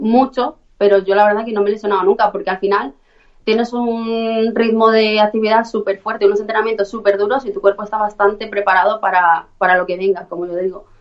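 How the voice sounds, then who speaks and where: A woman's unremarkable speaking voice, medium in pitch, fairly quick in pace and fairly even in intonation. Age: 20s. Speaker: professional fighter. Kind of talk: interview.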